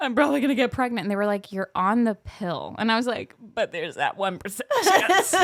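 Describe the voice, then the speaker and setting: Loud, animated speech from a woman, fairly high in pitch with very wide pitch swings, a fairly quick pace, and hardly any pauses. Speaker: podcast co-host. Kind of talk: casual chat.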